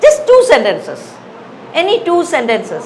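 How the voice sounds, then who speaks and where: A woman speaks at a moderate pace with very wide pitch swings, over noticeable background noise and audible room echo. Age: 60s. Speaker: English teacher. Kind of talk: lecture. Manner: conversational, hesitant with fillers.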